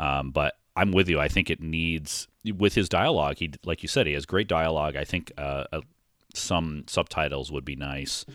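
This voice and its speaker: With vocal fry and a very deep, low pitch, a man speaks at a moderate pace and fairly even intonation in a very clean recording with a silent background. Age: 40s. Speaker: film podcast co-host. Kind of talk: casual chat.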